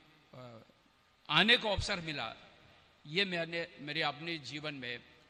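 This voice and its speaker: The voice has a non-native accent. Its tone is bright and sharp. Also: man. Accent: non-native Hindi. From Tibet. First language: Tibetan (speaking Hindi). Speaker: Tibetan politician, former parliament deputy speaker. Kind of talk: speech at religious event. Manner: halting.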